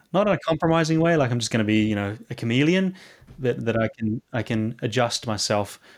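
A man with a New Zealand accent speaks at a medium pitch with ordinary pitch variation, on a very clean recording with a silent background. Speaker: clinical psychologist. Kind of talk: interview conversation. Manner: halting, many fillers and repetitions.

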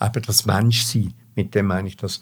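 The voice is somewhat breathy. It carries a Swiss accent. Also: man. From Switzerland, Engelberg then Zurich. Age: 80s+. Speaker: former opera singer. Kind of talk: life story interview. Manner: halting.

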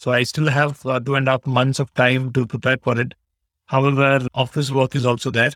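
In a very clean recording with a silent background, a man with an Indian accent sounds dry and close, with no echo. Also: medium pitch for a man. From India, Bangalore. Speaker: CPA exam candidate. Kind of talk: interview. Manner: halting.

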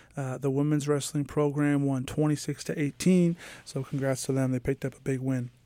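Speaking at a moderate pace, a man has a fairly high pitch and a dark, mellow tone. His intonation is monotone and flat. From New York. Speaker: college radio sports co-host. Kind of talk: casual sports chat.

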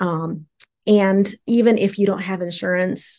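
A woman's normal speaking voice, medium in pitch, fairly slow, with fairly even intonation over a quiet background. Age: 50s. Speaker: sex therapist, social worker. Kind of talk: casual interview chat.

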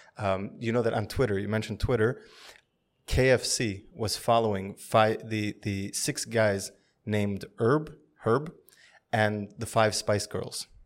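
With an unremarkable speaking voice, a man talks at a moderate pace, fairly low in pitch and fairly even in intonation, on a very clean recording with a silent background. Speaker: podcast co-host.

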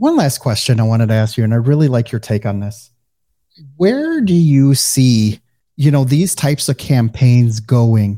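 In a dark, mellow tone, a man with a slight Midwestern US accent talks at a moderate pace and medium pitch with ordinary pitch variation, recorded very cleanly against a silent background. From US Midwest. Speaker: podcast host. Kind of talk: interview, casual conversation.

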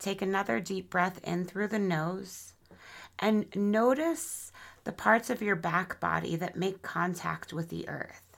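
The woman has a soothing, gentle tone and a medium pitch, with vocal fry. She speaks at a fairly slow pace. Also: ordinary pitch variation, very clean recording, silent background. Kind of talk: guided meditation. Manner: slow, soothing, gentle and unhurried; calm, warm, nurturing.

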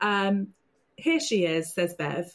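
This is an ordinary speaking voice from a woman. Her pitch is medium and her intonation lively. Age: 40s. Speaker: podcast host. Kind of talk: podcast interview.

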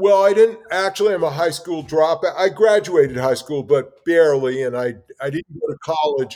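A man with an American accent speaks in a normal speaking voice. His pitch is fairly high, with ordinary variation, at a moderate pace. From New York City, Brooklyn. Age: 60s. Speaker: artist. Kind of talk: interview conversation.

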